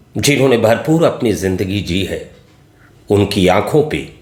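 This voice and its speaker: Audible room echo surrounds a man who speaks with lively intonation. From India, Varanasi (Uttar Pradesh). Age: 60s. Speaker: retired geography lecturer. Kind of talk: political monologue addressed to voters. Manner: formal.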